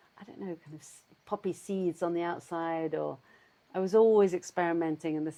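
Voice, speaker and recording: Dark and mellow in tone, a woman with a southern English accent speaks at a fairly low pitch, her intonation fairly even. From London, England. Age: 60s. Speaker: cheesemaker. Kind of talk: casual interview chat. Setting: at home. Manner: halting, searching for words.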